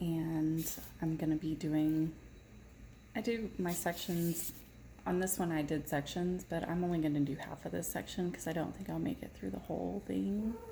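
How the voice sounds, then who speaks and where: A woman with an American accent talks in a fairly low, somewhat breathy voice with a dark, mellow tone, leaving long, frequent pauses. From Texas, Irving. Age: 40s. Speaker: diamond painting vlogger. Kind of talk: casual chat.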